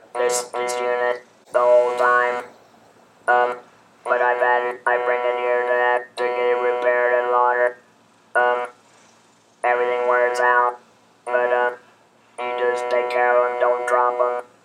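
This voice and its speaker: Medium-pitched male speech, monotone and flat, fairly slow with long, frequent pauses, over music in the background. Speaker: laryngectomee. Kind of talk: casual talk to camera.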